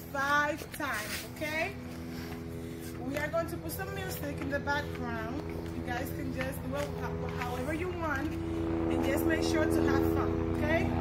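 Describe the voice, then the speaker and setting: Speech at a fairly slow pace comes through loud background noise. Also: woman. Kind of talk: instruction to a child and viewers. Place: street. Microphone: camera far.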